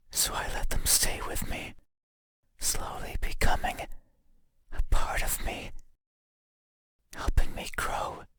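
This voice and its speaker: A raspy, put-on character voice at a very slow pace, with long, frequent pauses. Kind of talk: horror game character dialogue, deliberate and unsettling. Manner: slow, soft, haunting.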